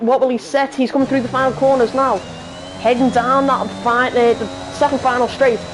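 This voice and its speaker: A high-pitched woman with a Liverpool accent, animated and fairly quick, over noticeable background noise. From northern England, Liverpool. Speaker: sim racing commentator. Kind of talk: live commentary. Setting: live stream. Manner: halting, many fillers.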